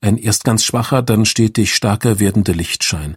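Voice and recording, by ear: Pitch varies in an ordinary way as someone reads aloud in a natural voice.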